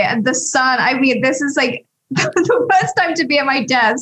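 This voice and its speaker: A woman speaks at a fairly slow pace in a high pitch, her tone bright and sharp, with ordinary pitch variation. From England, Sussex. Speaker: talent agency CEO. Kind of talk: casual chat.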